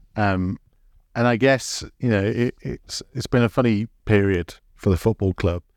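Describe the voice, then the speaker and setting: In a very clean recording with a silent background, a man speaks at a fairly low pitch with ordinary pitch variation and a dry, close sound with no echo. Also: fairly slow pace. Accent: English. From England. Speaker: podcast host. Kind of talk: interview.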